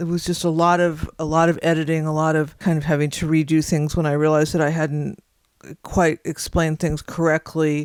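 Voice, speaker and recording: The fairly quick delivery comes through on a very clean recording with a silent background. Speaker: YouTube content creator. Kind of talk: personal account.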